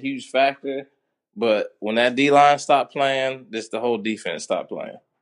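A man with a plain, everyday voice, medium in pitch, at a moderate pace against a quiet background. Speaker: caller. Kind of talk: casual sports talk. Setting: phone call.

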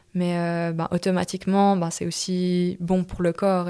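Over a silent background in a very clean recording, a woman talks at a fairly slow pace with a fairly low pitch and flat, monotone intonation. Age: 20s. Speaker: middle-distance runner. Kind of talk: interview. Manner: hesitant, many fillers.

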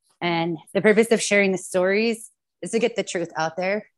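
An American-accented woman talks at a fairly quick pace with fairly even intonation and a medium pitch. It is an unremarkable speaking voice. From California, Woodland. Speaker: activist, sister of police killing victim, podcast host. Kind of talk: testimony.

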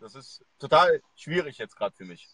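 The speech moves at a moderate pace. The sound is dry and close, with no echo. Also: man. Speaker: e-commerce livestream host. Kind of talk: live video interview. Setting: live video stream at a university. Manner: hesitant, many filler sounds.

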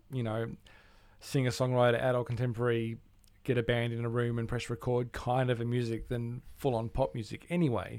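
A man with an Australian accent talks at a fairly quick pace in a medium-pitched voice. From Australia, Melbourne. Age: 40s. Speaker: musician and music producer. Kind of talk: casual chat.

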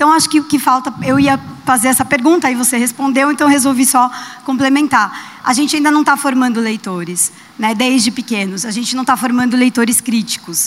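A woman speaks at a high pitch with ordinary pitch variation. Noticeable background noise sits behind her. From Brazil, São Paulo. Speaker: audience member. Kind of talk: audience question.

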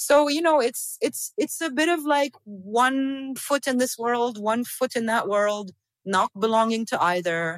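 At a fairly slow pace yet with hardly any pauses, a woman with a high pitch speaks with lively intonation and very even loudness in a dry, close sound with no echo. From Syria (Damascus). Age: 40s. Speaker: film director and poet. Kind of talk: interview.

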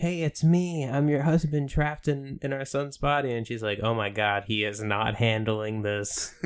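An ordinary speaking voice, a man at medium pitch with ordinary pitch variation, a moderate pace and hardly any pauses. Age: 20s. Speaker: podcast co-host. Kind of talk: casual comedic chat.

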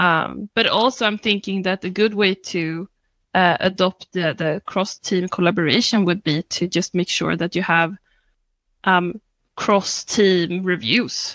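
A woman with a Swedish accent at medium pitch, fairly slow, in a very clean, dry, close recording with a silent background and no echo. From Sweden, Stockholm area. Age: 30s. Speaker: scrum master. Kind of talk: panel discussion.

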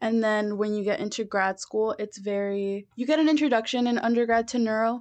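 This woman has an ordinary speaking voice. She speaks at a fairly quick pace, with a fairly high pitch and ordinary pitch variation. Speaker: graduate student in speech pathology. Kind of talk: interview. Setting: studio.

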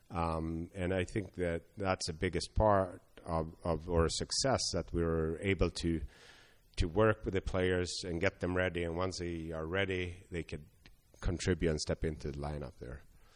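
A man's very deep, low voice with a Swedish accent, at a moderate pace over a quiet background. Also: fairly even intonation. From Sweden. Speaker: hockey scouting director. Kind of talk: interview. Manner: halting, many fillers.

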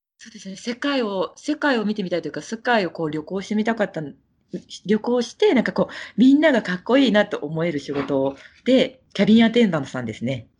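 Against a quiet background, a woman with a medium-pitched voice talks at a very fast pace, her pitch swinging very widely. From Japan, Kagoshima (Kirishima). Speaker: Japanese expat living abroad. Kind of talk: casual interview.

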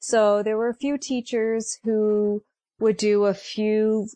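A woman with an American accent, fairly high-pitched yet dark and mellow in tone, monotone and flat at a fairly slow pace, in a dry, close sound with no echo and a quiet background. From Connecticut. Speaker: elementary school teacher. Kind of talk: interview.

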